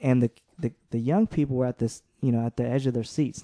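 Speaking very fast with an American accent, a man has a medium pitch and a dark, mellow tone, recorded dry and close with no echo over a quiet background. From San Jose, California. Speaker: community organizer. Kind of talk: podcast interview. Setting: studio.

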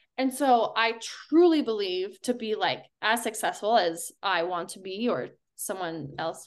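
A woman with an American accent at a fairly high pitch, speaking at a very slow pace. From Colorado. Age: 30s. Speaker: professional runner. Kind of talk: casual chat.

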